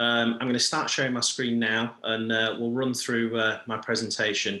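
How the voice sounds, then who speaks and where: At a moderate pace, a man talks in a medium pitch with a bright, sharp tone. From UK. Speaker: coffee company founder. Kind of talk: business presentation. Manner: hesitant with many fillers.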